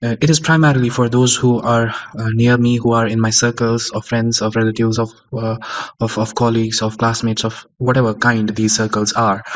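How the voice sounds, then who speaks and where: A man delivers his words at a moderate pace in a monotone, flat intonation. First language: Kashmiri. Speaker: podcaster / audio journal keeper. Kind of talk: unscripted monologue. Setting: recorded at home on a sound recorder at 3 am. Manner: halting, many fillers.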